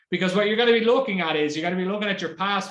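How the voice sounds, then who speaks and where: A man speaks with an Irish accent. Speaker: marketing executive. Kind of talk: webinar presentation. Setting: online webinar. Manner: fast.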